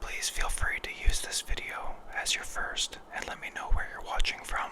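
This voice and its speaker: A man whispers at a moderate pace. Noticeable background noise sits behind him. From western Canada. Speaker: ASMR creator. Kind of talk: ASMR relaxation talk. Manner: soft-spoken.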